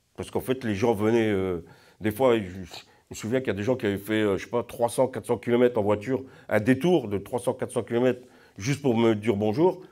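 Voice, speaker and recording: A man with a dark, mellow tone speaks at a fairly quick pace, his pitch varying an ordinary amount. His loudness swings widely, and the recording is very clean with a silent background. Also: medium pitch for a man. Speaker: pilgrim. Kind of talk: testimony. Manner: halting.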